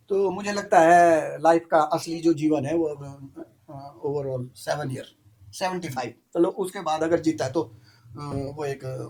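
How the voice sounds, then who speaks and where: An ordinary speaking voice from a man, fairly high-pitched, with ordinary pitch variation and big swings in loudness. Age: 60s. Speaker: apple farmer. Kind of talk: casual chat.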